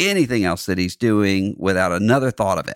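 A fairly low-pitched man's voice in a Southern US accent, lively in intonation, dry and close with no echo, on a very clean recording over a silent background. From US South, Mississippi Gulf Coast. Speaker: podcast host, religious commentator. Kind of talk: solo podcast monologue on music and religion. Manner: halting with frequent fillers and repetitions.

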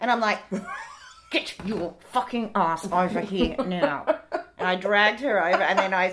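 Over noticeable background noise, a woman with an Australian accent speaks at a moderate pace and medium pitch, with ordinary pitch variation and long, frequent pauses. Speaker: podcast host and author. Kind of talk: casual chat.

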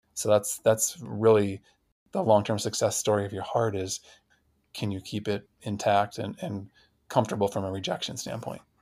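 A man with a normal speaking voice and fairly low pitch talks at a moderate pace. His intonation is fairly even, and the recording is very clean with a silent background. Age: 40s. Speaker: heart transplant recipient, physical therapist. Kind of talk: interview conversation.

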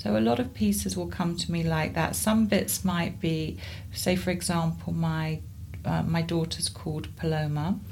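Amid audible room echo, a woman with a southern English accent speaks at a moderate pace with a very deep, low pitch and very wide pitch swings. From southern England, Surrey. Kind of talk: interview conversation.

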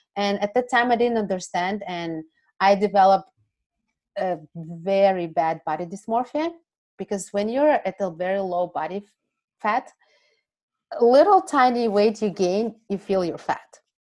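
Long, frequent pauses at a moderate pace, with ordinary pitch variation, on a very clean recording with a silent background. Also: woman. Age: 30s. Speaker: food freedom and pleasure coach. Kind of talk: casual interview chat.

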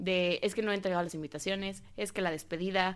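A woman speaks with a Mexico City accent on a very clean recording with a silent background. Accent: Mexico City (chilango) Spanish. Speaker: wedding planner. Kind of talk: interview.

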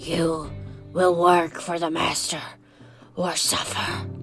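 A put-on character voice, raspy and middle-pitched, speaks at a very slow pace over clear background music. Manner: horrible, ominous.

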